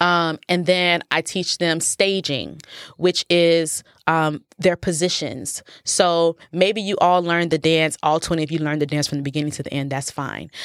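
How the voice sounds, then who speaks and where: Using an ordinary speaking voice, a woman with a fairly low pitch and an American accent talks at a moderate pace with fairly even intonation. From Nigeria, raised in the US. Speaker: professional dancer and choreographer. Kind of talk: casual interview chat. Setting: at the host's house.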